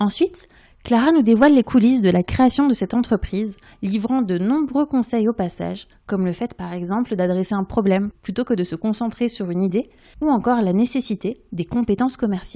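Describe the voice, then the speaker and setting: The voice belongs to a woman with a dark, mellow tone. She speaks at a fairly quick pace in a dry, close sound with no echo. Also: fairly high pitch for a woman, ordinary pitch variation, very clean recording, silent background. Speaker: podcast host. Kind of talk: interview.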